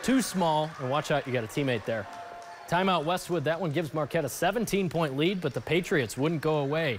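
With music in the background, a man talks at a fairly high pitch with lively intonation. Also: moderate pace. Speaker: local TV sports anchor. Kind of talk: sports highlight voiceover, live-style play-by-play commentary. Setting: TV studio voiceover over game footage. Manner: punchy, energetic, clipped play-by-play.

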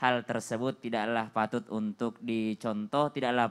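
Fairly even intonation runs through this man's speech. He talks at a moderate pace. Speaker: Islamic preacher. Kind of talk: religious TV talk show. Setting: studio. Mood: earnest, advising. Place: studio. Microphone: handheld.

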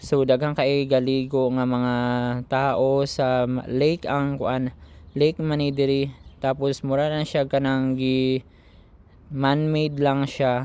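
A dark, mellow tone in a Philippine accent, flat and monotone, at a very slow pace. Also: man. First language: Cebuano (speaking Tagalog). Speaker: vlogger, overseas Filipino worker. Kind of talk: vlog voice-over. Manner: casual, rambling with fillers.

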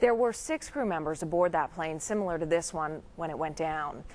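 Here a woman speaks at a moderate pace. Her pitch is fairly low, with ordinary variation. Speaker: news anchor. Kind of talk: news reading. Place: studio. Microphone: lapel.

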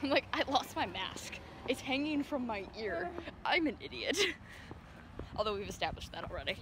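A high-pitched woman at a moderate pace, dry sound with no echo, noticeable background noise. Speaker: vlogger. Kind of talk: casual vlog chat. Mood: self-mocking, amused. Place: street. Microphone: phone near.

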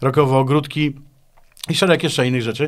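Against a quiet background, a man talks at a very fast pace with a fairly high pitch. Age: 50s. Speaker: guitarist and composer; guest. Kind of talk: interview. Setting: studio. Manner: halting, with repeated words. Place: studio. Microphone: studio mic.

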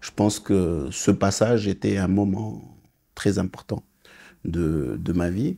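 Against a quiet background, a man with a very deep, low pitch and vocal fry speaks very slowly in a dark, mellow tone, with ordinary pitch variation and long, frequent pauses. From Senegal, raised in India, Malaysia and Australia, then Morocco. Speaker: business executive; interview guest. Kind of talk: interview. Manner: halting, frequent hesitations. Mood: calm, reflective. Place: studio. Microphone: lapel.

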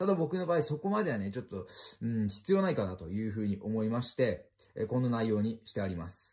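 Against a quiet background, a man talks at a fairly quick pace in a dark, mellow, somewhat breathy tone. His pitch swings very widely. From Japan. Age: 20s. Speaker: car and motorcycle YouTuber; motorcycle YouTuber. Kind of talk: explanatory vlog. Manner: polite, filler-heavy.

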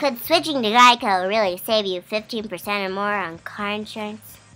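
A woman speaks in a put-on character voice that is squeaky, at a medium pitch. Her pace is moderate. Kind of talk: comedic webcam vlog, quoting an ad line. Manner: comic, silly. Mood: playful, joking.

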